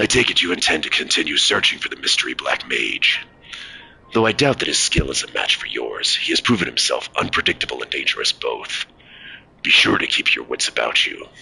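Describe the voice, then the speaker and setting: A man uses a guttural put-on character voice at an extremely high pitch. He talks at a fairly quick pace. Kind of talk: formal, archaic. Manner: grave, warning.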